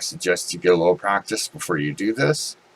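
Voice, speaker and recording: A man's voice over noticeable background noise. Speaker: art tutorial maker. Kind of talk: tutorial.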